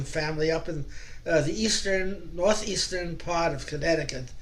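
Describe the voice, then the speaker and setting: A man with a high pitch talks at a fairly quick pace with fairly even intonation. There is audible room echo and noticeable background noise. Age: 80s+. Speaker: folk singer, club member. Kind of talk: casual introduction to a song. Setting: video call. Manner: halting.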